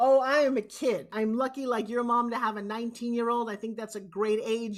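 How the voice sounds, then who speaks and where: A woman with a fairly high voice speaks at a fairly quick pace. Her tone is animated, and her pitch varies in an ordinary way. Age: 60s. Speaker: motivational speaker. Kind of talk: interview.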